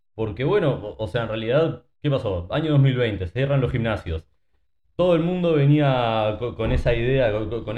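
A man with a somewhat breathy voice and lively intonation at a fairly slow pace. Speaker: fitness coach. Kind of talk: casual chat.

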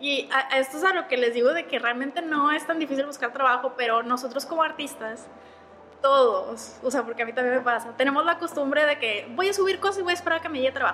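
A woman speaks very fast in a raised, projected voice, animated in tone and high in pitch with ordinary variation. Noticeable background noise sits behind her. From Monterrey, northern Mexico. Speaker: illustrator. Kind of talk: casual interview chat. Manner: animated, laughs often.

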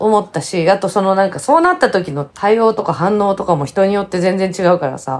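Speaking in a plain, everyday voice at medium pitch, a woman moves at a fairly quick pace with hardly any pauses and ordinary pitch variation. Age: 50s. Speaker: podcast co-host. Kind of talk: casual chat.

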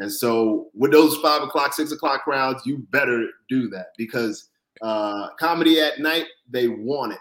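This man talks at a fairly slow pace with an American accent, his pitch fairly high for a man. He has a plain, everyday voice with ordinary pitch variation. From Florida. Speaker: stand-up comedian. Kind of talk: interview.

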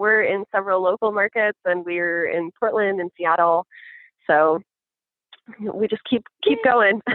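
An ordinary speaking voice from a woman with an American accent, medium in pitch, with ordinary pitch variation at a fairly slow pace. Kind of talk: casual chat.

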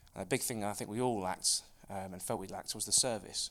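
In an East Anglian accent, a man talks at a very fast pace with a fairly low pitch. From Suffolk, England. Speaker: FX brokerage founder. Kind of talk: casual interview.

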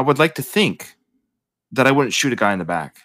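A man's bright, sharp voice with vocal fry, medium pitch, very wide pitch swings and a fairly quick pace. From Canada. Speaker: podcast host. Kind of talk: casual chat.

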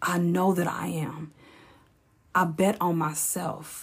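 A woman speaks in a fairly low, somewhat breathy voice with a monotone, flat intonation. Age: 40s. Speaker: podcast host, former hairstylist. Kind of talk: casual monologue.

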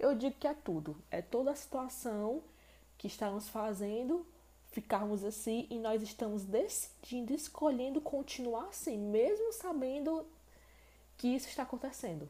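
A woman with lively intonation speaks in a high pitch, her tone dark and mellow. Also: moderate pace. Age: 20s. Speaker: podcast host. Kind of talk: solo podcast monologue.

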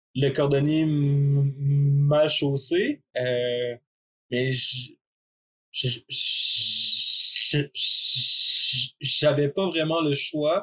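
A man is heard with a dry, close sound and no echo at all. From Quebec. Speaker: person who stutters, podcast guest. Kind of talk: personal testimony.

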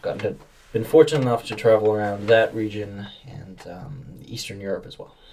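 A man with an American accent talks at a fairly quick pace and medium pitch, somewhat breathy and dark and mellow in tone, with ordinary pitch variation and big swings in loudness. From Massachusetts. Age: 20s. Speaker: university student. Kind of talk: casual interview.

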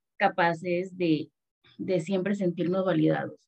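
Her voice is fairly low with a dark, mellow tone, delivered by a woman at a fairly slow pace with monotone, flat intonation. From Panama. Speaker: adoptee, adoption association member. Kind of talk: casual chat.

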